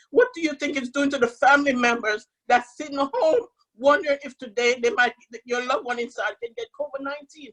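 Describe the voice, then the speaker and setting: A woman's high voice at a fairly quick pace, in a dry, close sound with no echo. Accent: Jamaican. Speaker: family member of prisoner. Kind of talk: testimony.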